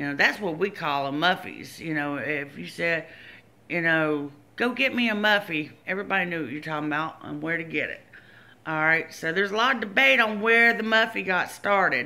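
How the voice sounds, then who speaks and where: With a north Louisiana accent, a woman talks fairly quickly in a fairly low pitch, her tone bright and sharp and her intonation lively. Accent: mild north Louisiana. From Shreveport, north Louisiana. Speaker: YouTuber. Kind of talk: casual chat.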